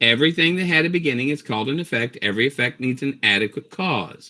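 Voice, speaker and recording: A man with a normal speaking voice talks at a fairly quick pace with lively intonation. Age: 60s. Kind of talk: heated debate. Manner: forceful, talks over others.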